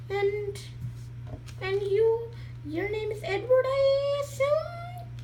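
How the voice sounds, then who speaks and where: In a put-on character voice, squeaky and extremely high, someone talks at a very slow pace against clear background noise. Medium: read story. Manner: quiet, timid, hesitant.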